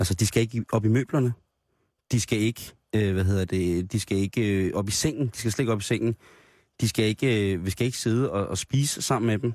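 A plain, everyday voice moves at a fairly quick pace with ordinary pitch variation, captured in a very clean recording that sounds dry and close with no echo and has a silent background. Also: man, fairly low pitch for a man. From Denmark, Grenå area. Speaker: radio host. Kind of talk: casual chat.

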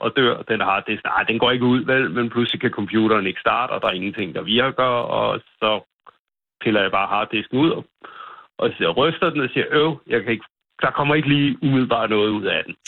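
A man's ordinary speaking voice at a medium pitch, fairly quick in pace, with ordinary pitch variation. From North Zealand, Denmark. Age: 50s. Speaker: farmer. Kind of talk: phone interview. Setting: phone call.

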